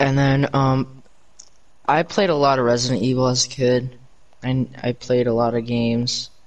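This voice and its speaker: Amid noticeable background noise, a man talks at a moderate pace in a medium pitch, with very even loudness and fairly even intonation. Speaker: podcast co-host. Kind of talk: casual chat.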